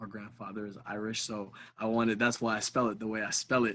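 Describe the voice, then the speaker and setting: A man speaks in a bright, sharp tone. His intonation is monotone and flat. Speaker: rapper. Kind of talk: podcast interview. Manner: halting, many fillers.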